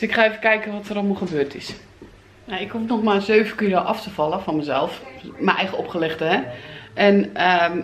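A woman talks at a fairly quick pace with ordinary pitch variation. Light background noise can be heard. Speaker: home vlogger. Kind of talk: casual vlog chat. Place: home room. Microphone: phone near.

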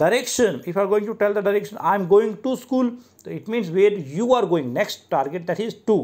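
Speech comes at a fairly quick pace with hardly any pauses. The intonation is lively, in an Indian accent. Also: man, high pitch for a man. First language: Hindi. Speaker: English teacher. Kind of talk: lecture. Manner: halting.

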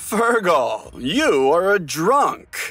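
This man's voice sits high, and his pitch swings very widely. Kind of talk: audiobook drama acting. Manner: sly, falsely apologetic.

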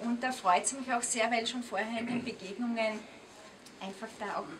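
A woman's fairly high voice at a moderate pace, with fairly even intonation and faint background noise

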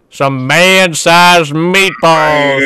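This man uses a put-on character voice with a fairly high pitch. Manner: mocking, repeating.

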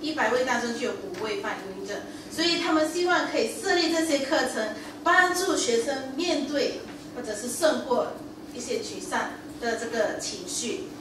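A woman speaks at a moderate pace with a high pitch and lively intonation. There is noticeable background noise and audible room echo. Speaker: preacher. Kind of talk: sermon. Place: church.

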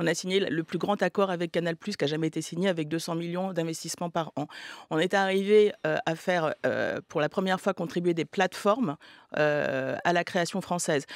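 In a quiet background, a woman speaks at a fairly low pitch with ordinary pitch variation, the sound dry with no echo. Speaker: film producer. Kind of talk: radio panel debate. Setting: radio studio. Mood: measured, argumentative. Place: studio. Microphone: studio mic.

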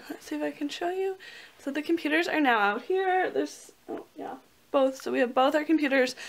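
A woman speaks at a fairly quick pace. Her pitch is high. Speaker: vlogger. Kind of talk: casual vlog chat. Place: home room. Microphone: phone near.

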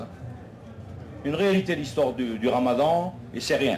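Noticeable background noise is present. A man talks at a fairly slow pace. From Algeria. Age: 60s. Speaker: political activist; speaker. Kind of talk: public debate speech. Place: tent.

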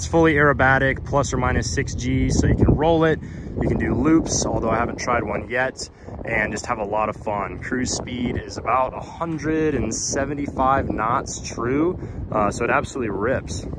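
Over loud background noise, a man speaks at a fairly slow pace with ordinary pitch variation, the sound dry with no echo. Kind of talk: casual vlog chat. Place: street. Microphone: phone near.

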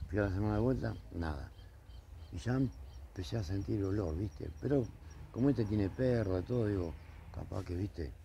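A man's somewhat breathy voice with a dark, mellow tone and very wide pitch swings, dry with no echo, over light background noise. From Argentina. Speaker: neighbour, car body repairer; witness. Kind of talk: street interview testimony. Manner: halting, hesitant. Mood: upset, complaining. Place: street.

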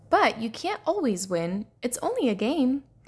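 A woman puts on a character voice, fairly high-pitched with big swings in pitch. Her tone is slightly mellow with a husky, rough edge, and she talks at a moderate pace.

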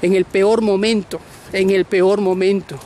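A man with a high pitch talks at a fairly slow pace, the sound dry with no echo and light background noise present. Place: beach. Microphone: phone near.

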